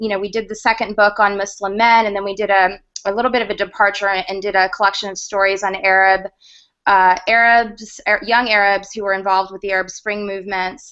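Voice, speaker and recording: Her medium-pitched voice stays in a monotone, flat intonation as the woman talks at a fairly quick pace. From US South, Georgia. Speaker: media consultant and former news producer. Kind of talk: panel interview in online video hangout.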